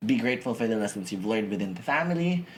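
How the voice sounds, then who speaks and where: A man speaks loudly. His pitch swings very widely. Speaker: podcast host. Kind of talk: casual chat.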